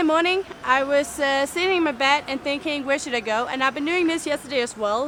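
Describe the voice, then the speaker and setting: Through noticeable background noise, a woman's high voice comes across raised and projected. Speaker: travel vlogger. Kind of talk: casual vlog talk. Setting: outdoors. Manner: loud.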